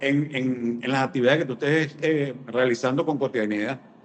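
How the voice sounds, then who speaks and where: Noticeable noise fills the background. A man talks at a moderate speed. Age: 60s. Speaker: business consultant. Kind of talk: interview.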